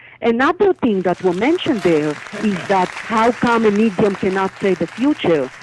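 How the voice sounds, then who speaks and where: A woman with an Israeli accent, lively intonation and very even loudness, crowd noise in the background. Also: medium pitch for a woman, moderate pace. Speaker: psychic medium. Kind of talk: interview.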